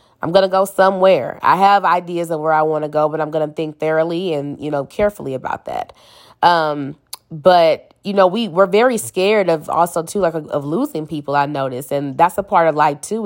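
This is an ordinary speaking voice, a woman's, fairly low in pitch with ordinary pitch variation. She talks at a fairly quick pace in a very clean recording with a silent background. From St. Louis, Missouri, US. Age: 30s. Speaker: podcast host. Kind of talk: casual solo monologue.

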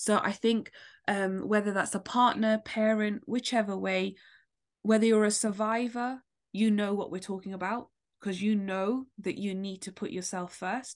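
A woman's medium-pitched, monotone voice in a British accent at a moderate pace. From London. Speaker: author and poet, domestic abuse survivor. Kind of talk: personal testimony in interview.

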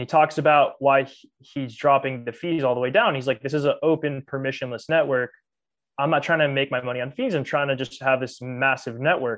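Speaking with an American accent, a man has an unremarkable speaking voice and fairly high pitch. His pace is fairly quick and his intonation fairly even. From US. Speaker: podcast co-host. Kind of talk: casual chat.

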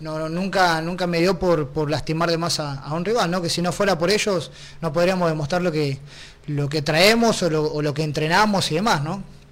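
Audible room echo surrounds a man with a high-pitched voice who speaks at a moderate pace with fairly even intonation. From Argentina. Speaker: mixed martial arts fighter. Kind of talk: interview.

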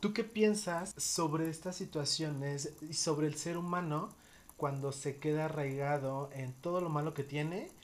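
Speaking in a Mexican accent, a man talks at a moderate pace. His pitch is fairly high and his intonation fairly even. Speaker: psychologist and podcast host. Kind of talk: casual interview chat.

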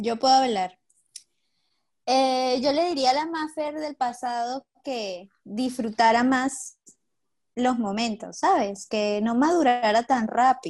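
At a very slow pace, the speech shows ordinary pitch variation. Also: woman, high pitch for a woman. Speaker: psychologist and ballet dancer. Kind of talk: casual chat.

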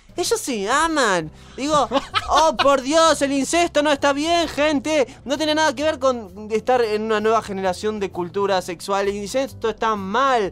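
A man speaks at a fairly slow pace with an extremely high pitch. His intonation is lively, over noticeable background noise. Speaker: podcast co-host. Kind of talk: casual chat. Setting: live stream.

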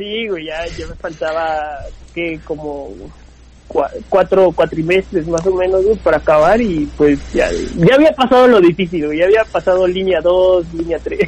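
A man speaks at a fairly slow pace with ordinary pitch variation. His voice sits high for a man. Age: 20s. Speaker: stand-up comedian. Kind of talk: casual chat.

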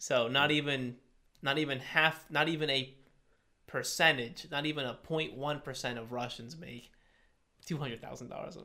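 The speaker has a bright, sharp tone and an American accent, with fairly even intonation and big swings in loudness. The pace is very slow, broken by long, frequent pauses. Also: man, fairly high pitch for a man. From US Connecticut. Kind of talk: casual chat.

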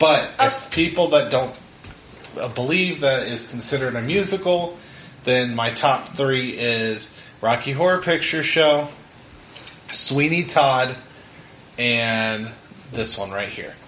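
A man with a fairly high voice speaks very slowly and with lively intonation, leaving long, frequent pauses over noticeable background noise. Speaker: podcast host, father. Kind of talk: casual family movie review chat.

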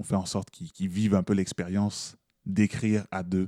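A man's very deep, low voice in a Quebec accent, dark and mellow in tone, with fairly even intonation at a moderate pace, on a very clean, silent recording with a dry, close sound and no echo. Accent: Québécois French. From Montreal, Quebec (Haitian parents). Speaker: slam poet. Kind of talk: interview.

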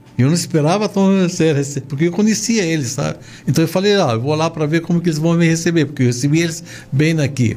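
Over noticeable background noise, a man with an Arabic accent talks at a fairly quick pace in a fairly high voice with ordinary pitch variation. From Lebanon. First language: Arabic (speaking Portuguese). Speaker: shoe store chain owner. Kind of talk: interview. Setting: studio.

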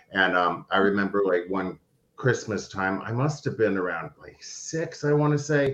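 An unremarkable speaking voice belongs to a man who talks at a moderate pace with lively intonation. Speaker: recovery alumni coordinator. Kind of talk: casual interview.

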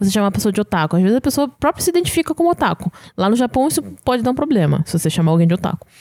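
A woman speaks very fast at a medium pitch, her tone dark and mellow. Her pitch swings very widely while her loudness stays very even, in a dry, close recording with no echo. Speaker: podcast co-host. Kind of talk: casual chat.

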